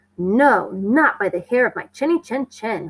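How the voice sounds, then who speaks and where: Growling in a put-on character voice, a woman speaks at a fairly high pitch with very wide pitch swings. Her pace is moderate, and the sound is dry and close with no echo. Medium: read story.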